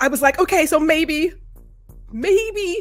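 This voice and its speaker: Music plays in the background as a woman speaks fairly slowly. Her pitch swings very widely. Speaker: podcast host. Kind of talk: casual podcast talk. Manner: stutters at times.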